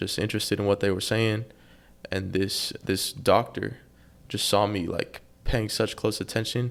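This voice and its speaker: An American-accented man speaks at a moderate pace. His intonation is monotone and flat. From Texas, Austin. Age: young. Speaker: young entrepreneur. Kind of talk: interview. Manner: halting.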